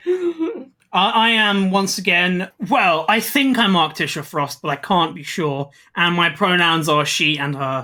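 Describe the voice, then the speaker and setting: In a British accent, a woman talks at a fairly slow pace with a fairly low pitch, a bright, sharp tone and lively intonation. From Britain. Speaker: podcast co-host. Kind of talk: casual chat.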